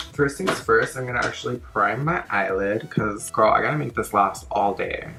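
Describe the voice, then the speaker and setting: Amid noticeable background noise, a man at medium pitch speaks at a fairly quick pace with lively intonation. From Texas, born in Mexico. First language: Spanish. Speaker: beauty vlogger and makeup artist. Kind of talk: makeup tutorial chat. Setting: home, talking to camera. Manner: casual, filler-heavy.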